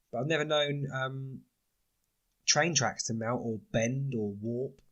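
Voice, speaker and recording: A man with a British accent talks at a fairly slow pace with fairly even intonation. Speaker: podcast host. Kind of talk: casual solo podcast talk. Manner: hesitant, many fillers.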